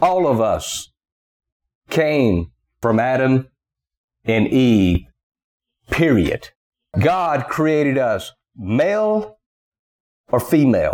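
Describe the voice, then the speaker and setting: A man with a Southern US accent, fairly high in pitch, with very wide pitch swings, very even loudness, a very slow pace and long, frequent pauses. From US South. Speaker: preacher. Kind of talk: sermon.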